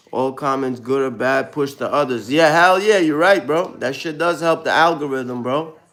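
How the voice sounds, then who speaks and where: With a Brooklyn accent, a man speaks at a moderate pace and a fairly high pitch, showing ordinary pitch variation. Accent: New York, Brooklyn. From US Northeast (Brooklyn, New York). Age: 30s. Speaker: live streamer. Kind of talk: casual live stream chat. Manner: casual, slang-heavy.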